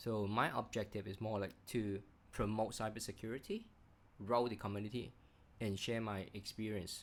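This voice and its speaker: This man has a fairly low pitch. He speaks at a moderate pace with monotone, flat intonation. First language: not English. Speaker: cybersecurity executive and channel host. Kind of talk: channel intro monologue. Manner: halting, many fillers.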